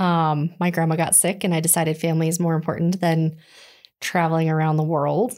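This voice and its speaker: In a plain, everyday voice, a woman with an American accent speaks at a fairly low pitch and a moderate pace. The recording is very clean, with a silent background. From Colorado. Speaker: children's ministry director. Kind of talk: casual chat.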